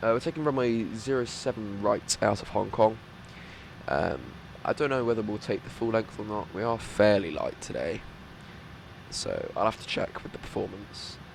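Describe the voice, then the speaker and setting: Noticeable background noise runs under a man speaking at a medium pitch with ordinary pitch variation and long, frequent pauses. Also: moderate pace. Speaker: flight sim streamer. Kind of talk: gameplay commentary. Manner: hesitant, many fillers.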